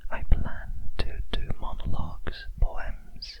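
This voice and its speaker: A man whispers very slowly while noticeable background noise goes on around him. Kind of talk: ASMR close whispers talk to camera. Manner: whispered, soft-spoken.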